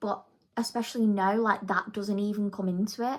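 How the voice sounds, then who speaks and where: A woman's fairly high voice in a slight Manchester accent, at a moderate pace with fairly even intonation. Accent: slight Manchester accent picked up. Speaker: beauty vlogger. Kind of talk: casual chat. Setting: at home doing makeup. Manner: chatty, filler-heavy.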